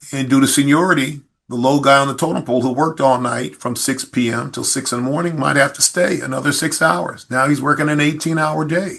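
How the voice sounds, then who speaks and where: A man with an unremarkable speaking voice talks at a fairly quick pace with hardly any pauses. He has an American accent, a fairly high pitch and fairly even intonation. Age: 60s. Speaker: police chief. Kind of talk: podcast interview.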